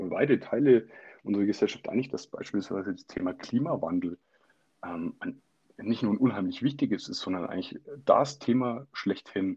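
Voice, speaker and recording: Against a quiet background, a man speaks at a fairly quick pace. His tone is dark and mellow, with ordinary pitch variation. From Bavaria, Middle Franconia. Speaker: local politician. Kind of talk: interview.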